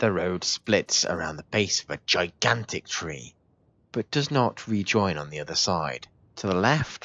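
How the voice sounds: In a natural reading voice, the speaker reads with lively intonation.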